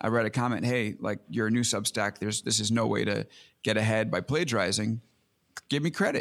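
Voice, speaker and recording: A man with an American accent speaks at a fairly quick pace, with vocal fry and a medium pitch. His pitch varies in an ordinary way, and the recording is very clean with a silent background. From US Northeast, Long Island, New York. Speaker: tech journalist and podcaster. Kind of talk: casual interview chat.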